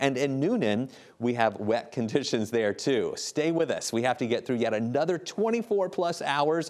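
This man talks at a moderate pace in an animated, relaxed tone with lively intonation. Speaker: TV meteorologist. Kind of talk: weather forecast segment, chatty on-air. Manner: friendly, animated, relaxed. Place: studio. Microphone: lapel.

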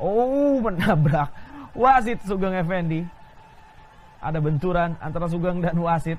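A man with a high pitch and lively intonation speaks at a fairly slow pace with long, frequent pauses, against noticeable background noise. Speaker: football commentator. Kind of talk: live football commentary. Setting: match broadcast, stadium.

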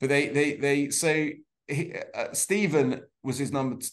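A man talks at a fairly slow pace, his medium pitch showing ordinary variation.

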